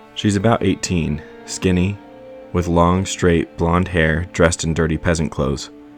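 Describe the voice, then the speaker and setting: Over music in the background, a man with a very deep, low pitch talks at a moderate pace with fairly even intonation. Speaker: voice actor. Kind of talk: audiobook narration.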